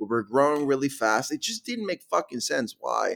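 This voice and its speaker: A man with a Mexican accent in a dry, close sound with no echo, on a very clean recording with a silent background. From Guadalajara, Mexico. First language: Spanish. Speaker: startup founder. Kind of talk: interview.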